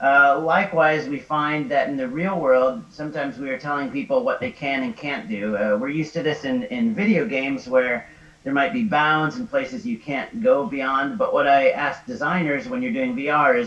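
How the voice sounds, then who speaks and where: A man's voice with very wide pitch swings and hardly any pauses, amid audible room echo and noticeable background noise. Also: fairly high pitch for a man. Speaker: XR designer. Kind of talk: lecture. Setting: live stream. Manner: fast.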